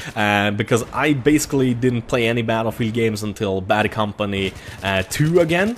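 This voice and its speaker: Noticeable background noise sits under a man with a Swedish accent whose medium-pitched voice shows ordinary pitch variation. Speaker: gaming YouTuber. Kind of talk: gameplay commentary. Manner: casual, enthusiastic.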